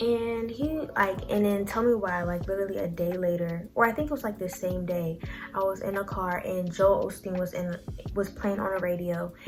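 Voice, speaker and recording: A woman with a medium pitch talks at a moderate pace and ordinary pitch variation. Music plays behind her, and the room echo is audible. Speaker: YouTuber and clothing business owner. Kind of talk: casual motivational talk to camera.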